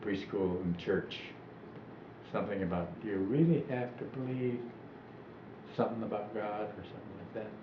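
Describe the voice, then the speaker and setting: Amid noticeable background noise and audible room echo, a man speaks at a fairly low pitch with long, frequent pauses. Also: ordinary pitch variation, moderate pace. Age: 80s+. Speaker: elderly interviewee recalling his life. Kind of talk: oral history interview. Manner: halting.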